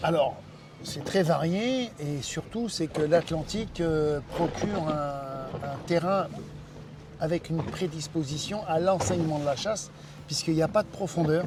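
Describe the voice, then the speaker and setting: Over music in the background, a man with a fairly high pitch talks at a fairly slow pace with ordinary pitch variation. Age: 60s. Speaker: diving centre owner and instructor. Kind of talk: interview. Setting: in his office by the sea.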